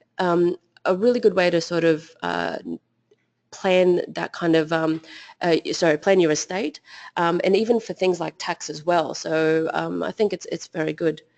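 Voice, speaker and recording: In an Australian accent, a woman with a fairly low pitch speaks at a moderate pace and fairly even intonation, the sound dry and close with no echo. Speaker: financial advisor. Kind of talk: webinar presentation. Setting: online webinar. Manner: hesitant, many fillers.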